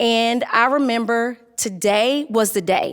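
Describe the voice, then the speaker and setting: Recorded very cleanly against a silent background, the voice carries a Southern US accent and ordinary pitch variation. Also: woman. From Durham, North Carolina. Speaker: technology facilitator. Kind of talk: personal storytelling talk.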